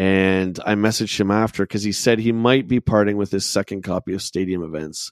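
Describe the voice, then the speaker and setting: An ordinary speaking voice, a man with a fairly low pitch and fairly even intonation at a fairly quick pace with hardly any pauses, in a dry, close sound with no echo on a very clean recording with a silent background. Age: 40s. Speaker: documentary filmmaker and collector. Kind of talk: casual chat.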